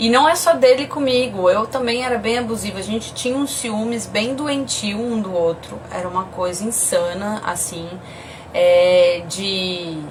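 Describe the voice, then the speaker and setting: A woman with a São Paulo accent speaks at a fairly slow pace and a fairly high pitch with lively intonation, amid audible room echo and noticeable background noise. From Brazil, São Paulo. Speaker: podcast host, mother. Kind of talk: casual chat, live stream. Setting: Instagram live video stream.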